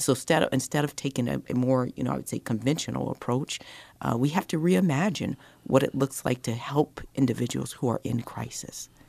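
A woman with an American accent, very deep and low in pitch, dark and mellow in tone, with vocal fry, ordinary pitch variation and a fairly quick pace. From Colorado. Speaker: diversity and inclusion director for a city. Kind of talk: radio interview.

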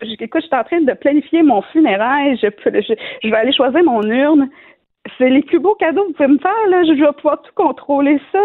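The woman's voice is high-pitched. Her intonation is lively. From Quebec, Shawinigan. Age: 30s. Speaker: cancer patient. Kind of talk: testimony. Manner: halting.

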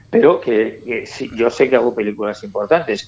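Noticeable background noise behind a man talking at a moderate speed. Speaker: film director. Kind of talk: panel discussion.

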